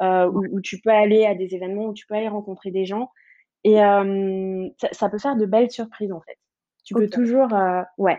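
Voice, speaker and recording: A woman's dark, mellow voice at medium pitch, fairly even in intonation, with big swings in loudness. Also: moderate pace. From French Guiana. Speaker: startup programme director. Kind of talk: casual interview. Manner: hesitant, many fillers.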